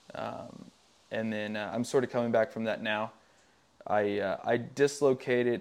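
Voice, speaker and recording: The speaker is a man with a Southern US accent. He talks at a fairly slow pace. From Tennessee, rural West Tennessee. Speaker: professional motocross racer. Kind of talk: casual interview chat. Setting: outdoors by his garage. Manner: hesitant, many fillers.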